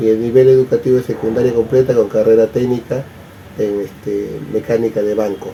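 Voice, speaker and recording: Against noticeable background noise, a man talks at a medium pitch in a monotone, flat intonation. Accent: Peruvian. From Peru, Lima. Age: 60s. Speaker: interviewee. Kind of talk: interview.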